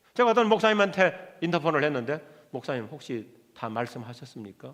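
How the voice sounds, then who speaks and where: Fairly quick in pace, a man speaks in a high pitch with very wide pitch swings. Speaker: pastor. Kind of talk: sermon. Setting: church.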